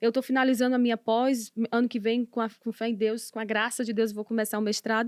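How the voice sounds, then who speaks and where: Recorded very cleanly against a silent background, a woman speaks fairly quickly at a high pitch. The sound is dry and close, with no echo. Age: 30s. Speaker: missionary preacher and author. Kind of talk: podcast interview. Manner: fast.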